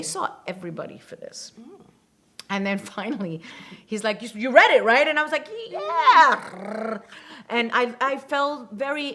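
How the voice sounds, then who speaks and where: Lively intonation and big swings in loudness come at a moderate pace over noticeable background noise. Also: woman. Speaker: actress. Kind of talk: interview answer.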